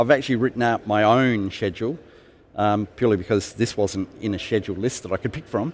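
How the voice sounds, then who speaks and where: On a very clean recording with a silent background, a man with an Australian accent talks at a very fast pace and a fairly low pitch. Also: ordinary pitch variation. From South Australia, Adelaide. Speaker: IT professional, conference attendee. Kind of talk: interview. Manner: hesitant, many fillers.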